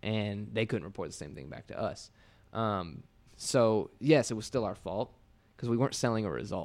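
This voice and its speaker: Speaking with an American accent, a man moves at a moderate pace with lively intonation and vocal fry. His loudness swings widely. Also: fairly low pitch for a man. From Indiana, small rural town. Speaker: digital agency owner and entrepreneur. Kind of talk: casual interview chat. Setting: podcast studio.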